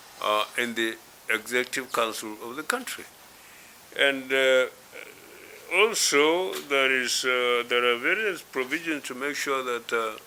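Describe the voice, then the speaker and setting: Through noticeable background noise, a man with a northern Nigerian accent speaks at a fairly slow pace and medium pitch, using ordinary pitch variation and long, frequent pauses. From northwest Nigeria. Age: 80s+. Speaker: elder statesman. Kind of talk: interview. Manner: halting, many fillers.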